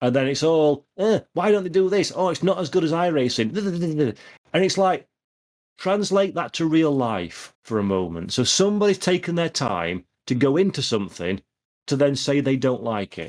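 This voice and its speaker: With a Yorkshire accent, a man speaks at a fairly high pitch, his voice making very wide pitch swings. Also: moderate pace. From Yorkshire, northern England. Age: 30s. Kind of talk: casual chat. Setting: video call. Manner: animated.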